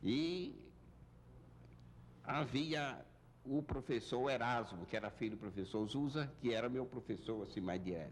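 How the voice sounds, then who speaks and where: Speaking fairly slowly with long, frequent pauses, a man with a medium-pitched voice and vocal fry keeps his loudness very even while his intonation stays lively. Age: 70s. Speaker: university founder and former rector. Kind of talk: interview, life story.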